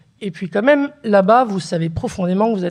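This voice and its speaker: A woman talks with an ordinary speaking voice. Her intonation is lively and her pace moderate. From northern France (Picardy, Beauvais, Oise). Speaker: writer, daughter of a harki. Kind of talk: conversation at a public talk.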